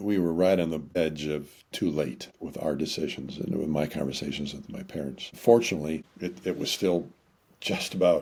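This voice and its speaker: A man speaks at a moderate pace in a very deep, low voice with vocal fry and ordinary pitch variation. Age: 60s. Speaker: marriage counselor and author. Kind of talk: interview conversation. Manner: halting, repeats words.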